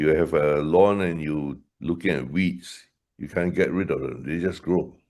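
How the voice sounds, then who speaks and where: A man with a very deep, low voice and vocal fry speaks at a moderate pace. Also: quiet background. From Malaysia. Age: 70s. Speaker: leadership trainer. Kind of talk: webinar conversation.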